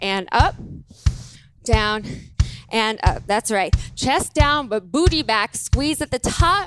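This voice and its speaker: A woman's very slow speech, dry with no echo, over music in the background. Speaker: fitness instructor. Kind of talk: workout instruction cues. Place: gym. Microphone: headset.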